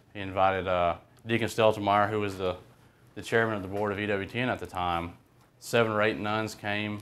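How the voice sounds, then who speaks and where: A man with an Alabama accent speaks at a fairly quick pace. His fairly low voice stays monotone and flat. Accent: Alabama, Southern US. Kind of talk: talk to a group. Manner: casual, hesitant.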